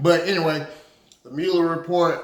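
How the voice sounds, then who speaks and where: This is a man talking. Room echo is audible. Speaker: political commentary vlogger and bail bondsman. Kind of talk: casual political commentary monologue. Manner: hesitant, many filler words.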